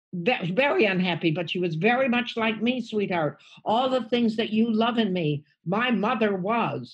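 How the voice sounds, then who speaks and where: Somewhat breathy, fairly slow speech in an American accent, with lively intonation and hardly any pauses. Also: woman, fairly high pitch for a woman. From United States. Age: 80s+. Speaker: stand-up comedian. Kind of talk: podcast interview answer.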